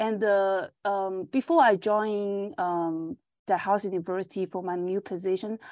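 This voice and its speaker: A woman with a Chinese accent at medium pitch and a fairly slow pace, with ordinary pitch variation, dry and close with no echo in a very clean recording with a silent background. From China. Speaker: agronomy professor. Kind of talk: interview. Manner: halting, many fillers.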